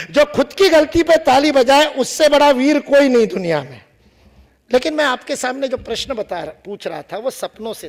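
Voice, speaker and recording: An animated man's voice at an extremely high pitch. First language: Marathi (speaking Hindi). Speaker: public speaker. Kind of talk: lecture. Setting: stage with audience.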